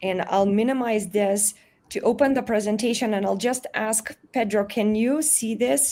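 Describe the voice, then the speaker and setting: A woman with a Macedonian accent speaks at a fairly high pitch in a dark, mellow tone. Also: ordinary pitch variation, moderate pace. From North Macedonia. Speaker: media and communication scholar. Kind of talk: lecture.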